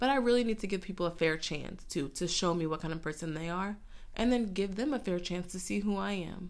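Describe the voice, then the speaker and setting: In a room with audible echo, a woman speaks at a moderate pace and a fairly low pitch with ordinary pitch variation. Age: 20s. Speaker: podcast host. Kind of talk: casual solo podcast monologue.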